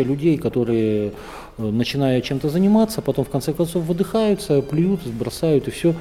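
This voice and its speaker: A man's normal speaking voice, fairly high-pitched, with lively intonation, a moderate pace and very even loudness. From northern Kazakhstan. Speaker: panoramic photographer and traveler. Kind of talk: interview. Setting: travel festival.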